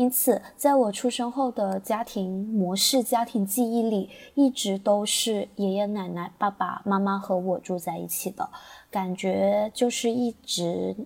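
Her pace is very slow and her pitch medium. The woman's intonation stays fairly even. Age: 20s. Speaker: teacher. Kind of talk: prepared personal reflection.

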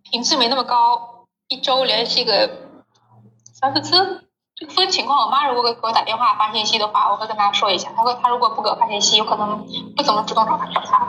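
Her pitch high and its variation ordinary, a woman speaks at a fairly quick pace. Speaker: Chinese employee working in Africa. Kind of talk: casual interview.

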